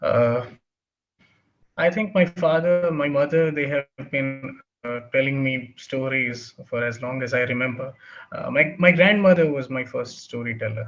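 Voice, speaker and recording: Music plays in the background as a man speaks. His pace is fairly slow, with ordinary pitch variation. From India, Bihar. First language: Bhojpuri. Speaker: writer and editor. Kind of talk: interview. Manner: halting, many fillers.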